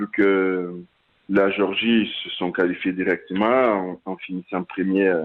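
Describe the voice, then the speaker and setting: A very slow, fairly low-pitched man's voice with fairly even intonation. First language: Portuguese (speaking French). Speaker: rugby player. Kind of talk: interview. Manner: halting.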